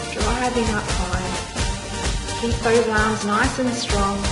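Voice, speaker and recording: Loud music plays in the background while a woman talks at a fairly slow pace. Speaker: fitness instructor. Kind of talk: workout instruction.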